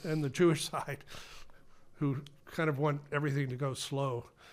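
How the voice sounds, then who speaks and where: Man with a slight Massachusetts accent, a fairly high pitch, and a moderate pace. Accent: Ipswich Massachusetts accent, a little flat. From Ipswich, Massachusetts. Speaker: author and former political staffer. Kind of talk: casual podcast interview.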